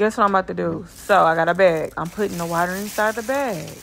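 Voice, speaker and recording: The woman here speaks at a moderate pace. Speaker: truck driver vlogger. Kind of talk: casual vlog chat. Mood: playful, disgusted at mess. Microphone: phone near.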